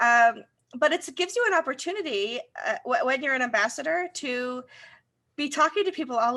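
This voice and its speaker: Raised and projected, a woman's voice carries a Rochester accent, a high pitch, lively intonation and a bright, sharp tone over a quiet background. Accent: Rochester broad A. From US, Rochester, New York. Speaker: co-host, community relations. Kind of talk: casual chat.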